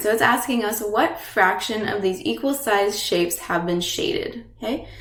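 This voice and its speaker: A woman's fairly high, lively-intoned voice at a moderate pace, with audible room echo and music in the background. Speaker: teacher. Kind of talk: lecture.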